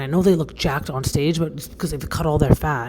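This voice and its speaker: With noticeable background noise around her, a woman talks at a fairly quick pace in a very deep, low pitch with ordinary pitch variation. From Canada. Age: 40s. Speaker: podcast host and bodybuilder. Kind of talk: casual monologue podcast. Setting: self-recorded video without usual podcast equipment.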